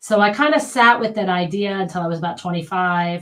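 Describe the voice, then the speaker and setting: A somewhat breathy woman's voice at a fairly low pitch, with ordinary pitch variation and a fairly quick pace. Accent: American. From United States. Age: 50s. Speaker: physical therapist. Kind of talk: casual interview.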